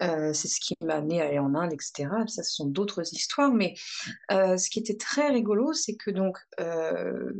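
Medium in pitch, a woman speaks at a moderate pace with ordinary pitch variation. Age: 30s. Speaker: therapist. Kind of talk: interview. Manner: halting.

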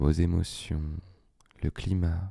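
Calm and soothing, a man speaks very slowly in a dark, mellow tone with fairly even intonation. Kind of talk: guided meditation. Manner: slow, calm, soothing; gently pausing, spaced-out phrasing with long silences.

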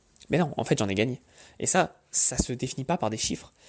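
Background silence makes for a very clean recording. Intonation rises and falls in a lively way. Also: man. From France, Paris. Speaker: online business podcaster. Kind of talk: casual monologue.

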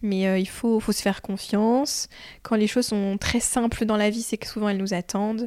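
A woman with fairly high pitch speaks at a moderate pace in a monotone, flat intonation. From France, Chartres. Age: 20s. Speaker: home renovator. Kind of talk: casual chat. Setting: at home.

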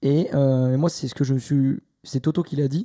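This man's fairly high voice has a dark, mellow tone, caught dry and close with no echo in a very clean recording over a silent background. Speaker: F1 podcast co-host. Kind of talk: casual chat.

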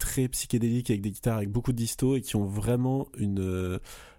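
A man speaks at a moderate pace in a medium pitch, his dark, mellow tone carried by fairly even intonation. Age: 20s. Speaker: podcast co-host. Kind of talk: casual chat. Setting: remote recording.

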